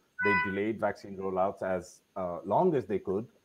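A man speaks while music plays in the background. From India. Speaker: policy commentator. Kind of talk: online panel discussion. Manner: raising voice louder than usual.

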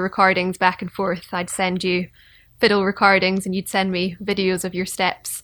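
A woman in a Scottish accent, medium in pitch, bright and sharp in tone, monotone and flat in intonation, at a moderate pace, on a very clean recording with a silent background. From Scotland. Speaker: fiddle player and podcast host. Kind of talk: casual interview.

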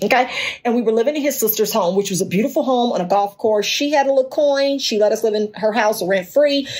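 An animated woman's voice with an American accent, fairly high in pitch with ordinary pitch variation, very fast and very even in loudness, over noticeable background noise. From Gary, Indiana (near Chicago). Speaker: podcast host. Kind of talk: solo podcast monologue.

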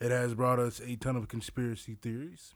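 A man speaks at a fairly slow pace in an ordinary speaking voice with a medium pitch. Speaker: podcast host. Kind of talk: solo podcast monologue. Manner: conversational, casual.

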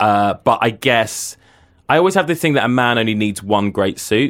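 A man with a British accent talks at a moderate pace on a very clean recording with a silent background. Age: 30s. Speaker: writer and cultural critic. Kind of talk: interview. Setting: studio booth.

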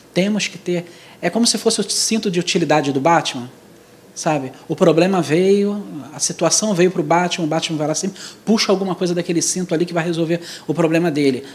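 The delivery moves at a fairly quick pace. Pitch varies in an ordinary way. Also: man, high pitch for a man. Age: 40s. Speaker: church speaker. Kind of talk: church talk on youth.

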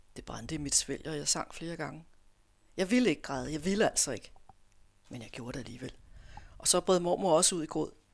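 A woman with a very deep, low pitch talks at a very fast pace, with long, frequent pauses and big swings in loudness. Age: 50s. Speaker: author. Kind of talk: reading aloud; casual interview chat. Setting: radio studio.

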